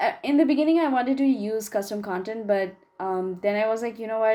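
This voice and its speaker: A woman speaks with a non-native accent at a fairly high pitch. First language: not English. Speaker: gaming YouTuber. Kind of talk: voiceover commentary. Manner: casual, chatty.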